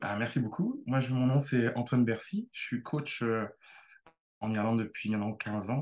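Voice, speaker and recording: With ordinary pitch variation and a medium pitch, the man talks at a moderate pace. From Brittany, France. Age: 30s. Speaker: tennis coach. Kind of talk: interview. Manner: halting, many repetitions.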